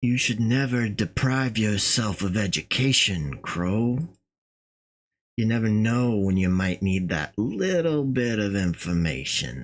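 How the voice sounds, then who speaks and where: A man's put-on character voice, fairly low in pitch, with lively intonation, very even loudness and a fairly slow pace. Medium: solo performance. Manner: curt, sarcastic.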